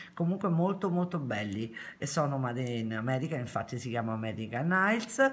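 Her pitch swinging very widely, a woman talks at a moderate pace. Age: 50s. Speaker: nail beauty vlogger. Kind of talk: product review vlog. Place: home room. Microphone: phone near.

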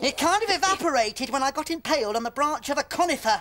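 Over clear background noise, a cartoonish character voice with a high pitch rattles along at a very fast pace. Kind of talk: comic puppet voice. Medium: comedy sketch.

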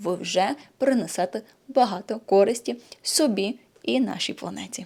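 On a very clean recording with a silent background, a woman speaks at a medium pitch. Her tone is dark and mellow, with ordinary pitch variation. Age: 30s. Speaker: nutrition blogger and yoga channel host. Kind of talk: vlog monologue to camera.

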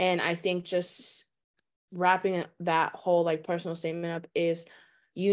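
Against a quiet background, a woman speaks at a fairly slow pace with a fairly low pitch. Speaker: college student panelist; guest. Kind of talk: webinar panel talk. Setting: video call. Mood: earnest, personal. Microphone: video call.

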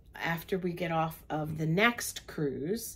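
A woman's fairly low voice, a plain, everyday voice with ordinary pitch variation. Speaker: travel vlogger. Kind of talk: casual vlog chat. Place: home room. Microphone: phone near.

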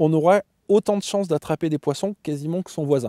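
Against a quiet background, a man speaks at a high pitch in a dark, mellow tone with ordinary pitch variation, the sound dry with no echo. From France, Limousin (Brive-la-Gaillarde); Limousin, France. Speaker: competitive carp angler. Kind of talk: interview. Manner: halting, many repetitions and fillers. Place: tent.

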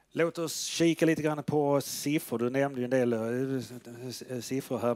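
Here a man talks at a fairly slow pace. His intonation stays fairly even against a quiet background. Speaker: event moderator. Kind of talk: Q&A interview. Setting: stage with audience. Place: hall. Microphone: headset.

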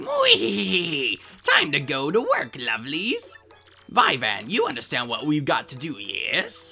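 A put-on character voice at a low-to-middle pitch moves at a fairly slow pace, with faint music in the background. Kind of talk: comic villain overacting. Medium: fan dub. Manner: haughty, scornful, shrill bursts of cackling.

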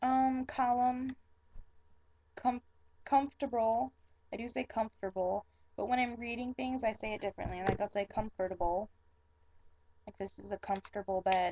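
A woman with an American accent speaks at a moderate pace in a fairly high, dark and mellow voice with ordinary pitch variation, long and frequent pauses, and noticeable background noise. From Michigan. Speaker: vlogger. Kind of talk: casual talk to camera. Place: home room. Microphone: webcam.

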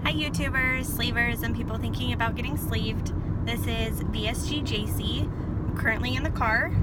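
A woman's voice sounds dry with no echo, set against loud background noise. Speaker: vlogger. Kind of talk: casual vlog chat. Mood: upbeat, relaxed. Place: car. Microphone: phone near.

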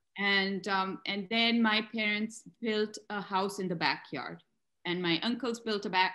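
A woman speaks with a bright, sharp tone and fairly even intonation. The background is quiet. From Pakistan, Lahore. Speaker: visual artist. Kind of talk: interview conversation. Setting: video call. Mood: reflective, animated with gestures. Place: home room. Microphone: video call.

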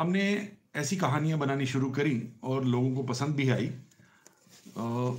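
Somewhat breathy male speech with lively intonation against a quiet background. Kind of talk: casual talk to camera. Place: home room. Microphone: phone near.

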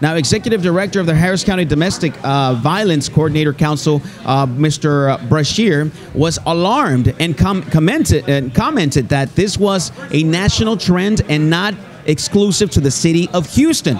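Moderate pace with music in the background. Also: man. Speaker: police officer radio host. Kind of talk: reading news segment on air. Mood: serious, informative. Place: hall. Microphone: studio mic.

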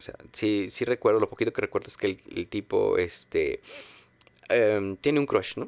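This man talks at a very fast pace. He speaks with a Mexican accent. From Mexico. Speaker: film podcast host. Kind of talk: casual monologue. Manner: halting, many fillers. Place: home room. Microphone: studio mic.

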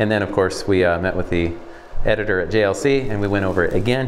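Light background noise behind a man's speech. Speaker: building contractor. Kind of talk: walkthrough explanation. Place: empty room.

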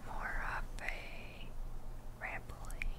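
Loud background noise under a woman's voice. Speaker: ASMR creator. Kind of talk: ASMR rambling show and tell. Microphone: studio mic.

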